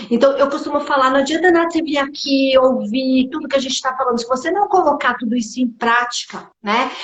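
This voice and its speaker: A woman speaks in a high voice. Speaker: beauty business consultant. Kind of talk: live stream business talk. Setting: online live stream.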